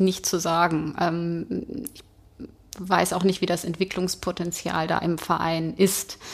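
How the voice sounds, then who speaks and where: A woman speaks at a very slow pace. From Hanover, Germany. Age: 40s. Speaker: football fan. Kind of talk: casual chat. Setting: stadium.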